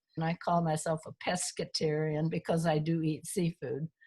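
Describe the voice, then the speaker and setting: This woman's voice is fairly low and somewhat breathy. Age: 90s. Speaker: retired chemist and consultant. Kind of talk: interview.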